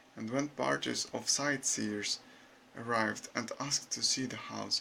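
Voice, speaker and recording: Talking at a fairly slow pace, a man has a non-native accent. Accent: non-native, unnatural intonation. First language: not English. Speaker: YouTuber. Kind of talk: reading aloud. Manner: halting.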